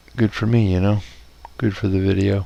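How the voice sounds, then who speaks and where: A man is whispering. His pace is fairly slow. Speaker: hobbyist video maker. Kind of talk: casual build tutorial. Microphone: no echo this time, sounding decent.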